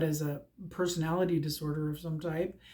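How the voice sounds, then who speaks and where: The woman's voice is somewhat breathy and fairly low in pitch. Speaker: tarot card reader vlogger. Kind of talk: casual vlog talk. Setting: at home by front windows. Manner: hyper, distractible. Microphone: no microphone, sometimes hard to hear.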